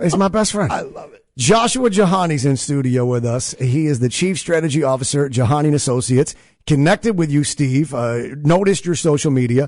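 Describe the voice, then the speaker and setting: Fairly quick and with lively intonation, a man talks in an ordinary speaking voice at a fairly high pitch. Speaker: podcast host. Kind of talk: casual podcast chat.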